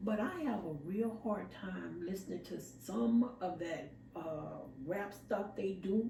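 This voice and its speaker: With lively intonation, a woman speaks at a very slow pace amid noticeable background noise and audible room echo. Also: medium pitch for a woman. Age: 60s. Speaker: podcast co-host. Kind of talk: casual chat. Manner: animated.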